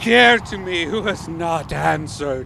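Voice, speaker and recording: Putting on a character voice, a man speaks at a fairly high pitch and a fairly slow pace. Background noise is clearly heard. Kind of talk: 1930s radio acting. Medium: old radio play. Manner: incantatory, hypnotic.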